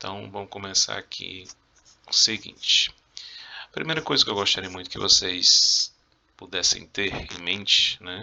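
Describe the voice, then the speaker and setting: Pausing long and often, a man speaks at a fairly slow pace with big swings in loudness. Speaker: Spanish teacher. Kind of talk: video lesson, exam review. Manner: casual, conversational.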